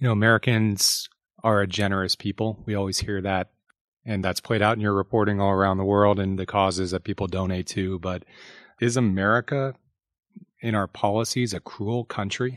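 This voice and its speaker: A man's fairly low, a normal speaking voice, with fairly even intonation at a fairly quick pace, in a dry, close sound with no echo. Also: quiet background. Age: 30s. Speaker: podcast host and newspaper reporter. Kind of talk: interview. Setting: studio.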